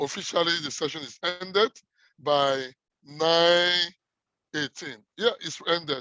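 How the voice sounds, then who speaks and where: A man's high-pitched voice at a fairly slow pace, with long, frequent pauses, big swings in loudness, ordinary pitch variation, and a dry, close sound with no echo. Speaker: workshop host. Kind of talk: online workshop wrap-up.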